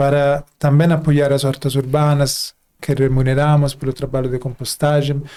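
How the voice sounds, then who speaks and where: The speaker talks at a moderate pace with a non-native accent, in a monotone, flat intonation with a dark, mellow tone, on a very clean recording with a silent background. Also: man. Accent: foreign accent in Portuguese. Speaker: company CEO, podcast host. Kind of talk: casual podcast conversation.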